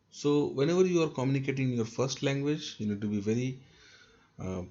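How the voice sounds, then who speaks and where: Audible room echo surrounds a man's dark, mellow tone, which shows ordinary pitch variation. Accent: North Indian. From North India. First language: Hindi. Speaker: trainer. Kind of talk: lecture.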